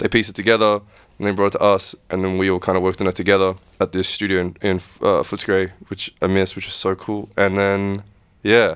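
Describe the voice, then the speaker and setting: On a very clean recording with a silent background, a man with an Australian accent speaks in a flat monotone. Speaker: music producer. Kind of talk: casual chat.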